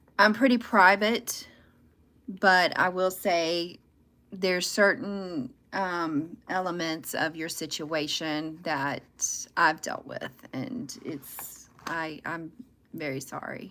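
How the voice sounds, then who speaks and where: Very slowly, a woman with a Southern US accent speaks at a fairly low pitch with ordinary pitch variation and big swings in loudness. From US South. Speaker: tarot reader livestreamer. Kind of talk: live tarot reading stream. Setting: livestream. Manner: loud, talkative.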